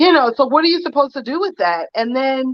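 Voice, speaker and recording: A loud woman's voice, high in pitch, with lively intonation. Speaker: political commentator guest. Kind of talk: casual discussion.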